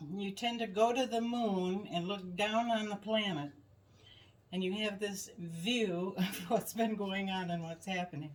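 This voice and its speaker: Speaking at a fairly slow pace, a woman of medium pitch with an American accent shows ordinary pitch variation amid noticeable background noise. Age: 70s. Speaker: podcast co-host. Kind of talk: casual chat. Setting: in-person at home.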